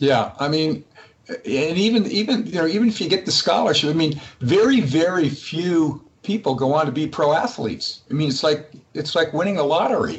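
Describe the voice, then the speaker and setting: The speaker uses an American accent and lively intonation at a moderate pace. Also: man, fairly high pitch for a man. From Massachusetts. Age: 60s. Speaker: company CEO. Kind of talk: interview. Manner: halting, many repeated words.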